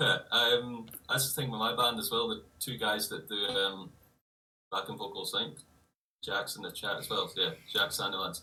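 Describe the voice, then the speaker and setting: A man speaks with a strong Scottish accent. His pace is moderate. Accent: heavy Scottish. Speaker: guitarist in a metal band. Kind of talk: casual livestream chat.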